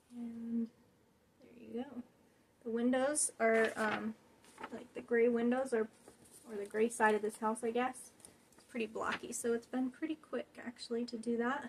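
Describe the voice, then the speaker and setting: A woman with a fairly high pitch speaks with big swings in loudness. Long, frequent pauses run through her speech. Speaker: cross stitch video creator. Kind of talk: casual show-and-tell vlog. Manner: fast; chatty, enthusiastic.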